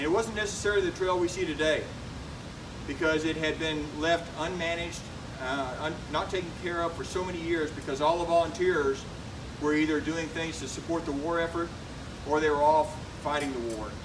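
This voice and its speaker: Over noticeable background noise and audible room echo, a man talks at a fairly quick pace in a fairly high pitch with fairly even intonation. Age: 60s. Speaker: retired military officer and hiking vlogger. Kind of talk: public talk. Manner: halting.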